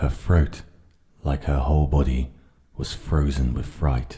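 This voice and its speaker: A man talks fairly slowly in a very deep, low voice with a dark, mellow tone and a calm tone. His intonation is monotone and flat, and he sounds somewhat breathy. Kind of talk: ASMR audiobook reading of a children's story, relaxing. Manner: calm, soft, relaxing.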